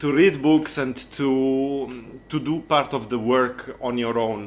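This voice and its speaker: In an Italian accent, a man talks at medium pitch with fairly even intonation. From Italy. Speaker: accordionist and music tutor. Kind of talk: interview. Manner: halting, with many fillers and repeated words.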